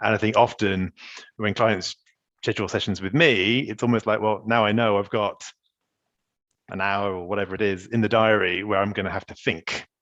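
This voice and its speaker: A man with a fairly low pitch and fairly even intonation speaks with long, frequent pauses. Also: fairly quick pace. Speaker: executive coach and podcast host. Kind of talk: casual interview conversation. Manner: fast.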